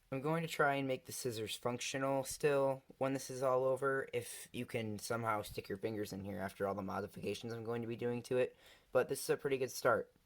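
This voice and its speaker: This is an unremarkable speaking voice with ordinary pitch variation. It moves at a fairly quick pace with hardly any pauses. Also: man, medium pitch for a man. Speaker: DIY craft video maker. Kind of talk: casual talk to camera.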